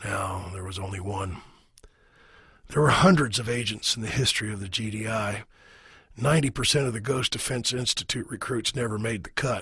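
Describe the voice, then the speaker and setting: A raspy, put-on character voice delivered at a fairly quick pace. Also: man. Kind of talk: audiobook narration. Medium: read story. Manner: measured, wry storytelling.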